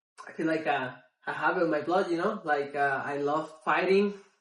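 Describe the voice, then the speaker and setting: This man speaks with a Spanish accent. His pitch is fairly high and varies in an ordinary way. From Mexico City, Mexico. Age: 30s. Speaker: MMA fighter. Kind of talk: interview. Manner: halting, many fillers.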